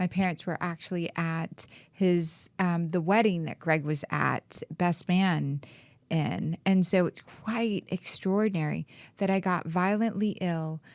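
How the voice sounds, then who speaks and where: With fairly even intonation and a fairly slow pace, a woman with a normal speaking voice talks at a fairly low pitch in a dry, close sound with no echo. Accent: American. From New Orleans, US South. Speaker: podcast host, spiritual coach. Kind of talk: casual chat.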